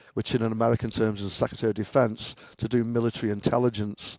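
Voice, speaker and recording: A man talks in an English accent at a medium pitch. The sound is dry and close, with no echo. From England, Liverpool. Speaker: cybersecurity engineer, former professional hacker. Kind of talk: podcast interview.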